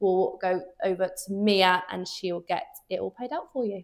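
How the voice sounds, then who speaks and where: This woman speaks. She has a slight Birmingham accent. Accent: slight Brummie (Birmingham). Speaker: underwriter at car finance firm. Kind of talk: Q&A chat.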